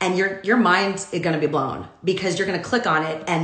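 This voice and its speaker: There is audible room echo and noticeable background noise. A woman speaks at a medium pitch. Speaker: commercial talent agent. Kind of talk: casual livestream talk. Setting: home, Instagram Live video. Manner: loud.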